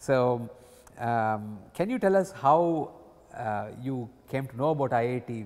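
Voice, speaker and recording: A man speaking with ordinary pitch variation. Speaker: oral history interviewer. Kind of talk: oral history interview. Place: hall. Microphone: lapel.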